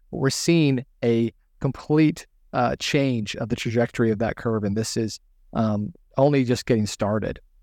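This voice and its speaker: A man speaks at a moderate pace with a medium pitch and ordinary pitch variation, his voice dry and close with no echo. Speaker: investment podcast co-host. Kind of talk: podcast intro and webinar presentation. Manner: enthusiastic, many fillers.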